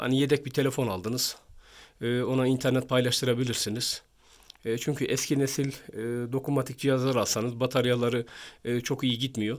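The intonation is monotone and flat. A man delivers it at a fairly quick pace. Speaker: phone review youtuber. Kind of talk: product review tutorial. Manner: halting, many filler sounds.

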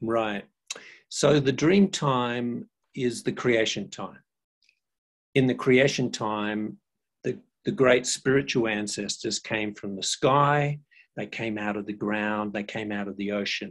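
A man at a very slow pace, with long, frequent pauses, ordinary pitch variation and a quiet background. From Australia. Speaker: cultural educator, former social worker. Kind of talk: educational talk. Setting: video call. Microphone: video call.

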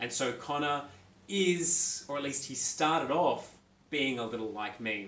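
Speaking fairly slowly in an Australian accent, a man uses a fairly high voice with ordinary pitch variation in a room with audible echo. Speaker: young adult author; author interviewing himself. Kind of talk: self-interview. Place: home room. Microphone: phone near.

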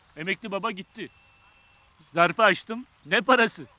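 Using a raised, projected voice, a man speaks at a moderate pace with ordinary pitch variation, the sound dry with no echo. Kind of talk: acted dialogue, comic storytelling. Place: street.

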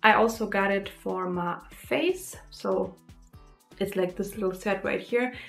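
Faint music plays behind a woman who speaks at a fairly slow pace. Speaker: beauty vlogger. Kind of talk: casual vlog chat, product review. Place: home room.

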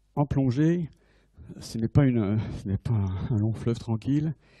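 His tone is dark and mellow, with ordinary rises and falls in pitch. Nothing intrudes from the quiet background. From France. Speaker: navy admiral and submarine officer giving a conference. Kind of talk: lecture. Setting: lecture hall with audience. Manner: halting with frequent repetitions. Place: hall. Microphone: handheld.

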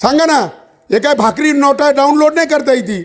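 A man speaks in an animated tone at an extremely high pitch. His pitch varies in an ordinary way. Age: 40s. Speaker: farmers' activist speaker. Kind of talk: public speech. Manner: fiery, animated.

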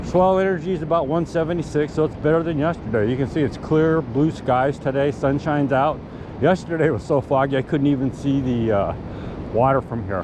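Noticeable background noise sits under a dry, echo-free sound as the speaker talks at a moderate pace with ordinary pitch variation. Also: man. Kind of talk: casual vlog chat. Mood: hopeful, upbeat. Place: beach. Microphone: phone near.

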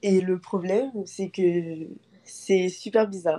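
This woman has a dark, mellow tone at a medium pitch, with fairly even intonation. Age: 20s. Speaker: student caller seeking dating advice. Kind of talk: live call-in consultation. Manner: halting, many fillers.

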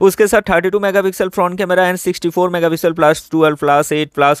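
A man with a fairly high pitch speaks in a clear, smooth tone with fairly even intonation.

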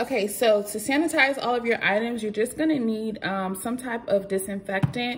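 A woman is speaking. Her pace is moderate. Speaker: home vlogger. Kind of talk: tutorial. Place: kitchen. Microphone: phone near.

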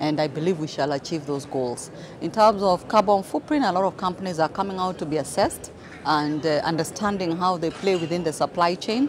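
Over noticeable background noise, a woman talks fairly quickly at a fairly low pitch with ordinary pitch variation, the sound dry with no echo. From Kenya. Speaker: manufacturing association executive. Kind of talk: interview. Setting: conference event. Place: hall.

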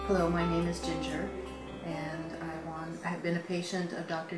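A woman speaks at a moderate pace while music plays in the background. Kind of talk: testimonial. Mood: warm, content.

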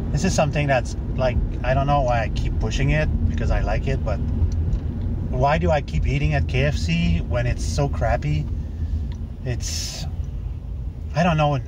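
Over noticeable background noise, a man talks at a moderate pace with a dry sound and no echo. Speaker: vlogger. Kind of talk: casual vlog chat. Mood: grumbling, annoyed. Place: car.

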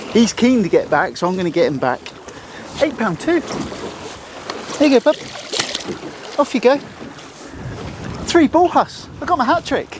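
A man with an extremely high pitch, big pitch swings and a fairly slow pace, with long, frequent pauses over faint background noise.

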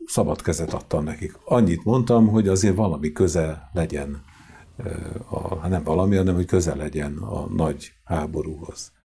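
A man with a very deep, low voice talks at a medium speed, his pitch shifting in an ordinary way. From Hungary, Sarkad (Békés county); Hungary. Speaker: choir conductor; guest. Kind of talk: interview; interview answer. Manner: halting. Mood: calm storytelling, anecdotal. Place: studio. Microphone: lapel.

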